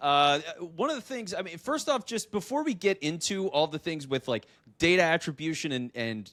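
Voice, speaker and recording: A man with an American accent, fairly high pitch and lively intonation, at a fairly quick pace, in a dry, close sound with no echo and a very clean recording with a silent background. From Philadelphia. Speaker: podcast host. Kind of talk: interview. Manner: clear, polished.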